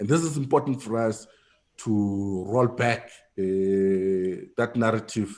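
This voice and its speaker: A very slow delivery with ordinary pitch variation. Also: man, medium pitch for a man. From South Africa. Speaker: political party official. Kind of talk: panel talk. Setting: video call.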